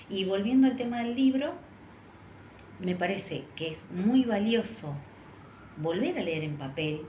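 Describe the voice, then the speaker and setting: A woman in a Rioplatense accent, medium in pitch with very wide pitch swings, at a fairly slow pace with long, frequent pauses, amid noticeable background noise and audible room echo. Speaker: teacher trainer and social media educator. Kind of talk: panel discussion. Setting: stage with audience at cultural center.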